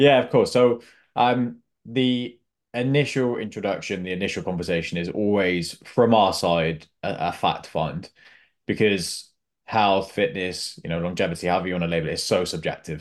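Over a quiet background, a man with a normal speaking voice talks at a moderate pace in a fairly low voice with lively intonation. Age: 20s. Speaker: executive health coach. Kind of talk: interview.

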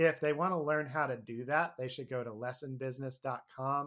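On a very clean recording with a silent background, a man speaks in a plain, everyday voice. His pitch is medium, his pace moderate, and his intonation fairly even. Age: 30s. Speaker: bluegrass musician and music teacher. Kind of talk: interview.

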